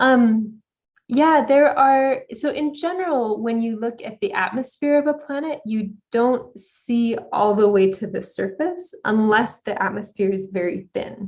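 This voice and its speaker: Talking at a fairly slow pace with hardly any pauses, a woman with an American accent and a plain, everyday voice uses a fairly high pitch and lively intonation. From United States. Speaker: astronomer, exoplanet researcher. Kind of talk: conference talk Q&A.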